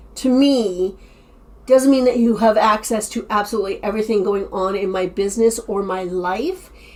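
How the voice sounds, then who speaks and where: A woman talks in a fairly high pitch with ordinary pitch variation. It is a plain, everyday voice. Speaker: online reseller and YouTuber. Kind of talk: casual vlog summary.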